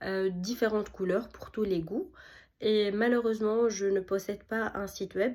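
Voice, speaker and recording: A woman talks fairly slowly, her intonation fairly even and her pitch medium. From Tunisia. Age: 30s. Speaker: architect and small business owner. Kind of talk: self-presentation pitch. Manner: hesitant, many fillers.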